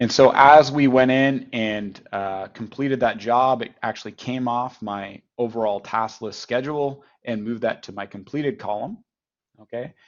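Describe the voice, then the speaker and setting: With a Canadian accent, a man in a plain, everyday voice speaks at a medium pitch and moderate pace, with ordinary pitch variation and big swings in loudness. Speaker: software company partnerships head giving product demo. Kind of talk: software demo in webinar. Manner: conversational with fillers.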